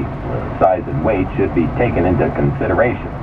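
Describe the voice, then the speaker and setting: With very wide pitch swings and a moderate pace, a man talks over noticeable background noise. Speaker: radio news reader. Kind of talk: local radio newscast.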